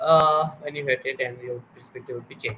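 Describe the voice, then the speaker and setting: Fairly high-pitched male speech at a moderate pace, over noticeable background noise. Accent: Pakistani. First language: Urdu. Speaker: interviewer, show host. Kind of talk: interview. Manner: hesitant, filler-heavy.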